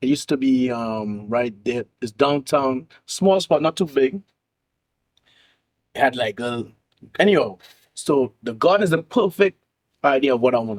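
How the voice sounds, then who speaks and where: A man with a Caribbean accent speaks at a medium pitch and moderate pace, with lively intonation and big swings in loudness. He takes long, frequent pauses, and the sound is dry and close with no echo. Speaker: nightlife host and entrepreneur, MC. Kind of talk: casual chat.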